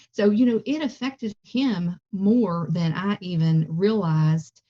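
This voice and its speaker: A woman's medium-pitched, dark, mellow, somewhat breathy voice with a Southern US accent and lively intonation, in a dry, close sound with no echo. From US South. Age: 50s. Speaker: plant-based cooking instructor. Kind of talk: interview.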